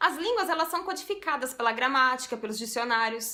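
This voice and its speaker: A woman speaks in a raised, projected voice with lively intonation. Noticeable background noise runs underneath. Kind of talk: everyday speech.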